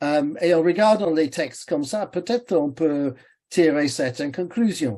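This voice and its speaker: Against a quiet background, the voice has a dark, mellow tone and moves at a fairly slow pace. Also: man. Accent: English. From England. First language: English (speaking French). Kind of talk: webinar talk. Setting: online webinar. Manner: halting, many hesitations.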